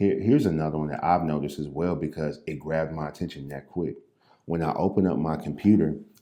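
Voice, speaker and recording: A man with an American accent and very deep, low pitch, talking at a very fast pace with vocal fry. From US Midwest, St. Louis. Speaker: realtor and real estate investor. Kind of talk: casual tutorial. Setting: standing at desk, impromptu recording.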